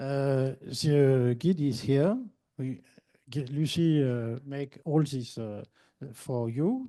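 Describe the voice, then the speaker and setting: A man speaks very slowly in a French accent, his voice fairly high with ordinary pitch variation. His tone is dark and mellow. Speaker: sports federation official. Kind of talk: conference Q&A answer. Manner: halting.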